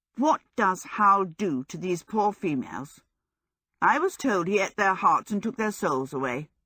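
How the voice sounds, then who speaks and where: At a moderate pace and middle pitch, a growling put-on character voice comes through on a very clean recording with a silent background. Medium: read story. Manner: scornful, indignant.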